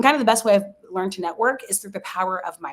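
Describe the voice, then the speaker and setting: This speaker is a woman with an American accent. She talks very fast. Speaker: sports journalist and broadcaster. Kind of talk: interview conversation. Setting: livestream interview. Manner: high energy.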